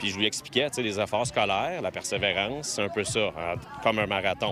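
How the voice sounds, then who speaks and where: There is noticeable background noise as a man talks at a fairly quick pace in a fairly low pitch. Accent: Quebec. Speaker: community police officer. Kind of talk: news interview clip.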